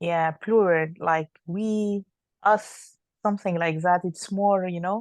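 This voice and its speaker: In an Arabic accent, a woman speaks very slowly with a medium pitch and fairly even intonation. The sound is dry and close with no echo, against a quiet background. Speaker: doctor. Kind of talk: casual chat. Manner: halting.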